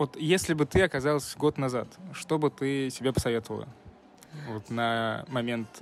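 The man talks at a moderate pace, leaving long, frequent pauses. His medium pitch shows ordinary variation. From Russia, Nizhny Novgorod. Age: young. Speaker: podcast host, student. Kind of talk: casual interview.

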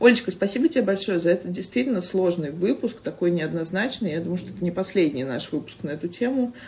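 A woman speaks very fast with lively intonation and big swings in loudness. Her voice is somewhat breathy. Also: medium pitch for a woman. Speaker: podcast host. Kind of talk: casual chat.

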